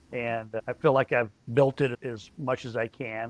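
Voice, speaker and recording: Recorded with a dry, close sound and no echo, a man with a normal speaking voice talks at medium pitch with fairly even intonation. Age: 60s. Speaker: company founder. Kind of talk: podcast interview.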